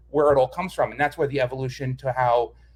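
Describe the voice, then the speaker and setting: A somewhat breathy voice in a New York accent comes through on a very clean recording with a silent background. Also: man. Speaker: design manager. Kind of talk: interview explanation.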